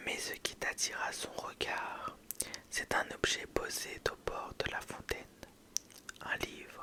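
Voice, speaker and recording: A woman whispers at a very slow pace with long, frequent pauses against noticeable background noise. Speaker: ASMR content creator. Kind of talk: whispered ASMR bedtime story. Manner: whispered, soft, slow.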